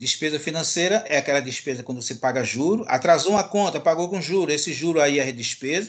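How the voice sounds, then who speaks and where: Against a quiet background, a man talks fairly quickly at a fairly high pitch with ordinary pitch variation. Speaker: university lecturer. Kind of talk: lecture. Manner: fast.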